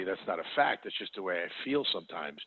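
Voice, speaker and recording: A man with a New York accent speaks with ordinary pitch variation. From New York City (the Bronx). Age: 50s. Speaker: wealth manager. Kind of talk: podcast interview. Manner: halting.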